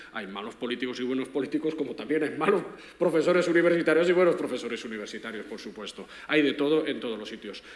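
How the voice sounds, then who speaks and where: The man's voice is fairly high in pitch. He talks at a very fast pace. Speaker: philosophy professor. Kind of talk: panel discussion.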